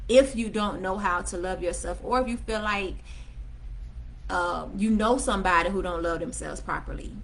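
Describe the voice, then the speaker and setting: A woman talks at a moderate pace, with audible room echo around her voice. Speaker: self-help vlogger. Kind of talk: livestream talk. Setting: livestream on laptop. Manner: casual.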